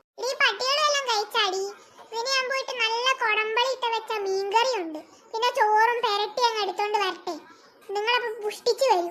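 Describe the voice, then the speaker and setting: A woman uses a squeaky, cartoonish character voice at extremely high pitch, with ordinary pitch variation and a moderate pace. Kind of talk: comic cartoon overacting. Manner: scolding, complaining.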